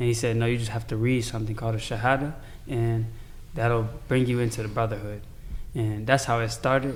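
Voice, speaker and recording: A man with an American accent speaks at medium pitch in monotone, flat intonation, at a fairly quick pace. Long, frequent pauses break up his speech, and audible room echo surrounds it. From Chicago, US. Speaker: convert to Islam. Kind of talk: casual chat.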